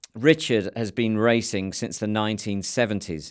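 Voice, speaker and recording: On a very clean recording with a silent background, a man with fairly low pitch uses an ordinary speaking voice at a moderate pace with ordinary pitch variation. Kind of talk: podcast intro.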